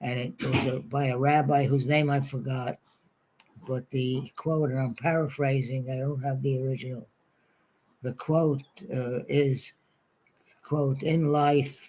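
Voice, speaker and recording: A man's somewhat breathy, medium-pitched voice with a New York accent, monotone and flat, at a fairly slow pace with long, frequent pauses. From New York City, Brooklyn. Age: 90s. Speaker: congregation elder sharing life reflections. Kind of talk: talk to a congregation. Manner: halting, many fillers.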